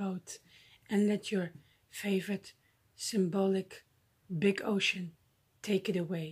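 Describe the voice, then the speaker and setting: Against a quiet background, a woman talks very slowly in a dark, mellow, somewhat breathy voice that is gentle and soothing, with monotone, flat intonation. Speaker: YouTuber. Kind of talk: guided breathing meditation with visualization, addressed to viewers. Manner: slow, paced breath cues with deliberate pauses; gentle, soothing and encouraging. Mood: calm, soothing. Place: home room. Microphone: phone near.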